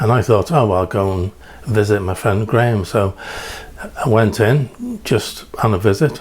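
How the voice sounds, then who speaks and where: This man has a medium pitch, ordinary pitch variation and a slight English accent. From England. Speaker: preacher. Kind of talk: storytelling sermon. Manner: halting, many fillers.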